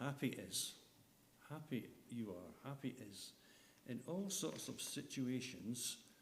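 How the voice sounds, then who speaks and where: With audible room echo, a man speaks with ordinary pitch variation. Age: 70s. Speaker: lay preacher. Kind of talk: sermon.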